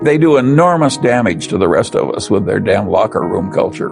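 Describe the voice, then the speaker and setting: Moderate-paced speech from a man, music in the background. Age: 80s+. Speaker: investor. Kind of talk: interview answer.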